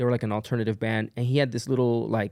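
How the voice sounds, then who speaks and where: The intonation is monotone and flat. It belongs to a man. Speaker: musician and music producer. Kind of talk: casual interview chat. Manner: casual, many fillers.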